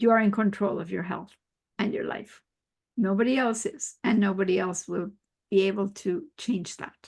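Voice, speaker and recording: Speaking with vocal fry, the voice moves at a moderate pace with ordinary pitch variation. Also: woman, medium pitch for a woman. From Mexico. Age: 60s. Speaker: biologist and health coach. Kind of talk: interview.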